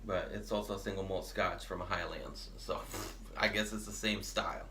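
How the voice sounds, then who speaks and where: A man talks at a moderate pace. The recording carries noticeable background noise and audible room echo. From Honduras. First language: Spanish. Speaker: podcast co-host. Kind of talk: casual chat.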